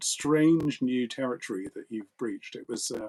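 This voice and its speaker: A man talks at a fairly quick pace in a normal speaking voice, medium in pitch with ordinary pitch variation. The sound is dry and close with no echo. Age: 50s. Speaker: philosophy discussion host. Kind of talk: casual chat. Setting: live online video stream.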